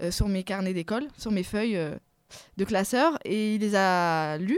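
With ordinary pitch variation, a woman talks at a fairly high pitch on a very clean recording with a silent background. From France, Paris suburbs (Seine-Saint-Denis). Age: 30s. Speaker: novelist. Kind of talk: interview. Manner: hesitant, many repetitions.

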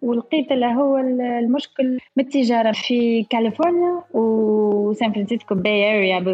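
Over noticeable background noise, a woman speaks with a high pitch. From France, Paris (Tunisian family). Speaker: entrepreneur and university lecturer. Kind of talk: interview testimony.

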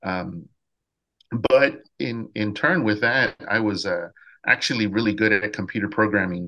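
A man's fairly low voice, bright and sharp in tone, with ordinary pitch variation and a quiet background. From South Texas. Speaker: high school music teacher. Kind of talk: casual interview.

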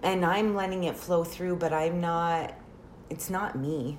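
Amid audible room echo, a woman with a fairly low pitch speaks at a fairly slow pace. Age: 30s. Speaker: reiki practitioner. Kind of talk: casual chat.

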